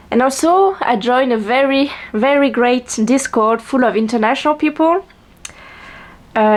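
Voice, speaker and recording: Here a woman speaks with a strong French accent. Her pace is fairly slow, her pitch variation ordinary. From France. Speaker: vlogger and writer. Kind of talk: casual chat. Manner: halting, many fillers and restarts.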